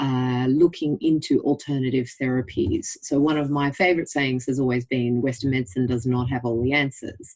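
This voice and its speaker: This woman has a very deep, low pitch and an Australian accent. She talks at a moderate pace with hardly any pauses and fairly even intonation. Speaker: general practitioner. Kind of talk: interview.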